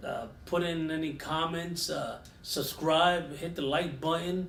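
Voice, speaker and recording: Audible room echo surrounds a man speaking with a New York accent. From New York (Yonkers). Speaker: podcast host and firearms instructor. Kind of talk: casual chat.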